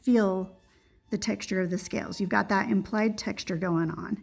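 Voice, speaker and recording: Her voice carries a slight breathiness. This woman keeps a moderate speed. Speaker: art teacher. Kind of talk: tutorial.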